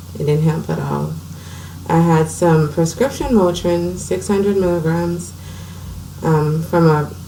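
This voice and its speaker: In a room with audible echo and noticeable background noise, a woman speaks at a moderate pace. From US Virgin Islands, St. Croix. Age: 30s. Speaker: blind woman sharing her medical story. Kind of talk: personal testimony.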